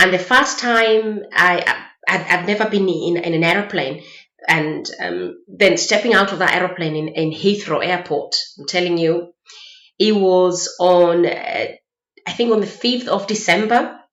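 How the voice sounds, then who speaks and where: With audible room echo around her, a woman talks at a fairly slow pace. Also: ordinary pitch variation. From Kenya (Mombasa, coast). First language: Kikuyu. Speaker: vlogger. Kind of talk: casual chat. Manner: halting.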